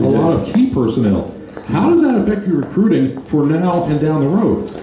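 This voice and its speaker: Over noticeable background noise, a man with a fairly high pitch speaks at a moderate pace, his pitch swinging very widely while his loudness stays very even. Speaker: radio play-by-play announcer and show host. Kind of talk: radio interview show host.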